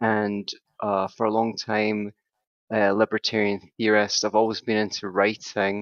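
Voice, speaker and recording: Speaking in a monotone with flat intonation, a man with a Scottish accent has a fairly low pitch. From Scotland. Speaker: psychotherapist and author. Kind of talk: podcast interview. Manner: chatty.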